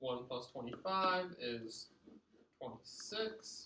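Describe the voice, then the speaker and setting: With lively intonation and a fairly high pitch, a man speaks in an unremarkable speaking voice. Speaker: math teacher. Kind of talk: lecture.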